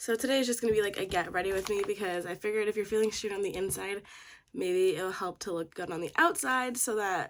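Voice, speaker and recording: A woman at a medium pitch with ordinary pitch variation, at a very fast pace. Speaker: beauty vlogger. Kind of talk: casual chat. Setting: at home.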